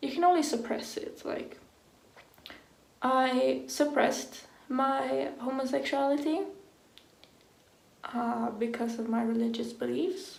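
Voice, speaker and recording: Audible room echo surrounds a woman speaking at a very slow pace in a high voice. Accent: non-native. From Sweden. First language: Swedish. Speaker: vlogger. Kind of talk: personal vlog. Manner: casual, filler-heavy.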